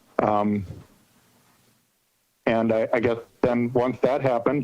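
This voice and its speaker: A man speaks at a fairly slow pace in a medium pitch, his intonation flat and monotone, with music playing in the background. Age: 60s. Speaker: small farmer, public commenter. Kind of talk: public comment at a meeting.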